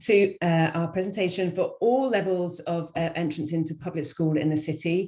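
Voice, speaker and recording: Somewhat breathy and fairly low, a woman speaks with a British accent and ordinary pitch variation. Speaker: school enrollment workshop presenter. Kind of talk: webinar presentation. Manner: fast.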